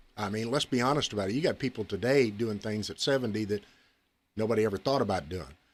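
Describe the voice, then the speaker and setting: In a very clean recording with a silent background, a man speaks very fast in a fairly low pitch. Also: ordinary pitch variation. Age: 60s. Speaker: former sheriff. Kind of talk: radio interview. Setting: studio.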